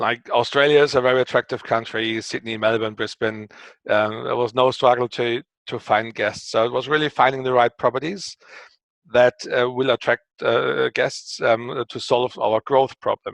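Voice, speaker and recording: Speaking with a German accent, a man has a medium pitch and a moderate pace. His intonation is fairly even, and the sound is dry and close with no echo. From Germany. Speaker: company co-founder and CEO. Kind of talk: interview. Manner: hesitant, many fillers.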